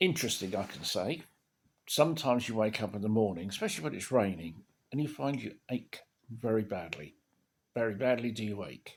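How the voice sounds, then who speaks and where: A man with a British accent at a fairly quick pace, lively intonation and big swings in loudness. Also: fairly low pitch for a man. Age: 70s. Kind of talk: casual talk to camera. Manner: rambling, hesitant.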